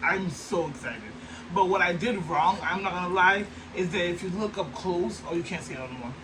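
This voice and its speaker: Speaking at a fairly quick pace with an animated tone, a man with a high-pitched voice is heard over noticeable background noise and audible room echo. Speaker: sewing crafter vlogger. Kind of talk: tutorial.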